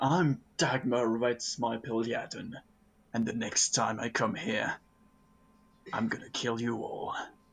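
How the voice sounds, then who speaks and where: Putting on a character voice, a man speaks raspy and booming at a medium pitch, with fairly even intonation, a fairly slow pace and long, frequent pauses. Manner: threatening, menacing.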